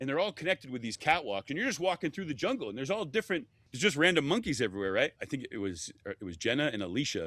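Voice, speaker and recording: With an American accent, a man speaks at a very fast pace in a bright, sharp tone with vocal fry and very wide pitch swings, in a dry, close sound with no echo. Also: fairly high pitch for a man. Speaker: former travel TV host. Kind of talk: casual chat. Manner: animated.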